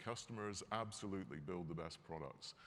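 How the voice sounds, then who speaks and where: A man with a Scottish accent at a fairly low pitch, with ordinary pitch variation, a fairly quick pace, and audible room echo. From Scotland. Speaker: company executive. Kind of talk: keynote speech. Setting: stage with audience. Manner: animated.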